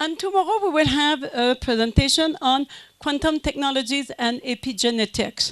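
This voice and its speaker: A woman with a French Canadian accent, lively intonation and a fairly quick pace. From Quebec, French Canada. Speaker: business consultant and company president. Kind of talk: conference talk. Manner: hesitant, many fillers.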